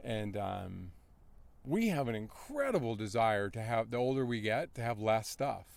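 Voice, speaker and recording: A man with an ordinary speaking voice and an American accent talks at a moderate pace, at medium pitch with ordinary pitch variation. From North Carolina. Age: 50s. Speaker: endurance athlete. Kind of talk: interview. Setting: outdoor race event. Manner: casual, conversational.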